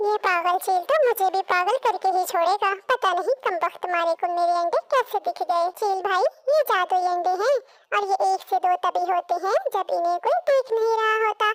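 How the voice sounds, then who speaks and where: Using a cartoonish character voice with an extremely high pitch, a woman speaks at a moderate pace with very even loudness and ordinary pitch variation, in a dry, close sound with no echo. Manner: polite to the kite, grumbling aside.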